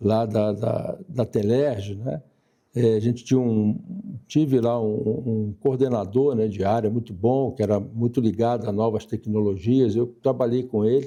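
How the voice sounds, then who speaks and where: At a fairly slow pace, a man with a medium pitch and a dark, mellow tone speaks in a fairly even intonation. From Brazil, Niterói (Rio de Janeiro state). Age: 70s. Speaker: retired telecom executive and social organization leader. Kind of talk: interview.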